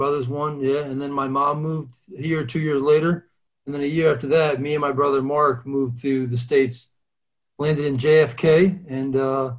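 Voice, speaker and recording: Speaking with a New Jersey accent, a man uses a fairly high pitch, a moderate pace and monotone, flat intonation. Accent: New Jersey American. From Albania, raised in New Jersey from age 9. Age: 30s. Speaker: former pro football player. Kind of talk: casual interview.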